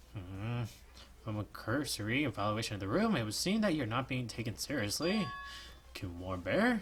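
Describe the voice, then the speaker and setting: A man at a medium pitch does a put-on character voice at a moderate pace. Background noise is clearly audible. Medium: actual play. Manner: theatrical, showman-like, mocking.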